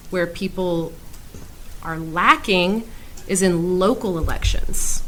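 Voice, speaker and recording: Audible room echo is present as a woman speaks at a very slow pace. Her pitch sits at a medium level. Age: 30s. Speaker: English teacher. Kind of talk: casual interview.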